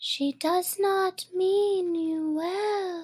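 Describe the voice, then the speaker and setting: A woman's quiet whisper in a put-on character voice. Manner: whispering, eerie.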